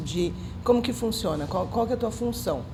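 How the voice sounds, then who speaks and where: Noticeable background noise sits behind this woman. She talks at a fairly quick pace, with audible room echo. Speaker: podcast host. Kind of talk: casual interview chat.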